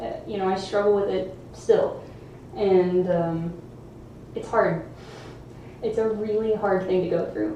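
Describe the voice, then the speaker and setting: A woman at medium pitch with fairly even intonation, a fairly slow pace and long, frequent pauses, plus audible room echo and noticeable background noise. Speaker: juggling YouTuber streaming live. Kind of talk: casual live stream chat. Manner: casual, hesitant with fillers.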